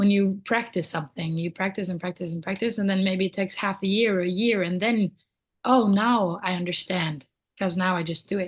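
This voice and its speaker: A woman's somewhat breathy voice at medium pitch, fairly quick in pace and fairly even in intonation. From Norway. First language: Norwegian. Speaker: singer-songwriter. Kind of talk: podcast interview answer.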